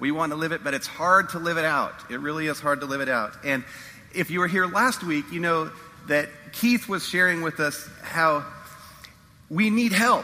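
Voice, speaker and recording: A man talks at a moderate pace and a fairly high pitch, with ordinary pitch variation. Noticeable background noise is present. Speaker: pastor. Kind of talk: sermon. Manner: hesitant, many fillers.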